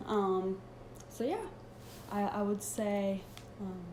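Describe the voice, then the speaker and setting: Audible room echo around a woman's fairly high voice, moving at a fairly slow pace. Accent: Swedish. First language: Swedish. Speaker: personal trainer. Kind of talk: live Q&A. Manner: halting.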